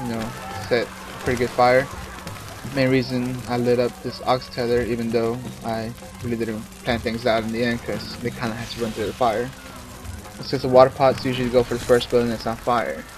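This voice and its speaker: Over music in the background, a man speaks fairly quickly but with long, frequent pauses, his intonation monotone and flat. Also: medium pitch for a man. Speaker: gaming commentator. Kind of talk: game walkthrough commentary. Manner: hesitant, many filler sounds.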